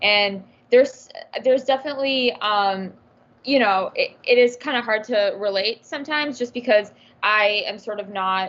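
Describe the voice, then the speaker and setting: A woman with an American accent speaks at a moderate pace in a normal speaking voice, her fairly high pitch showing ordinary variation. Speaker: youth panelist. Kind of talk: panel discussion.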